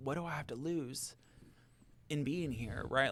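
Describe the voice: A man speaks at a moderate pace with a medium pitch and a fairly bright tone, his pitch varying in an ordinary way. The recording is very clean with a silent background.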